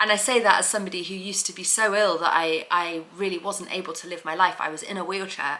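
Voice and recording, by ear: The voice has a bright, sharp tone and fairly even intonation, moving at a fast pace with few pauses and audible room echo. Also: woman.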